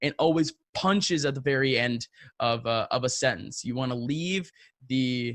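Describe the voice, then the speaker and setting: The recording is dry and close with no echo, carrying a man's fairly high voice with ordinary pitch variation. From New England, US (Brazilian family). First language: Portuguese. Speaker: esports commentator. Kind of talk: interview.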